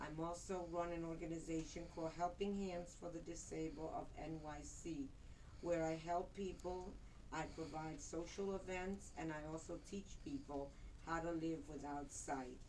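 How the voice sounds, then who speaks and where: A moderate pace and fairly even intonation, with audible room echo. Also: woman, fairly low pitch for a woman. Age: 60s. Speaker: retired interpreter and motivational speaker. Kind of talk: prepared speech. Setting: speech club meeting with audience.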